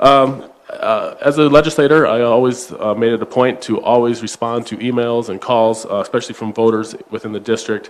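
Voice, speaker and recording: A man's medium-pitched voice with an Upper Midwest accent, at a moderate pace, with fairly even intonation and hardly any pauses. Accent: Upper Midwest American. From South Dakota. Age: 30s. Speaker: state legislator candidate. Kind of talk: political forum closing statement.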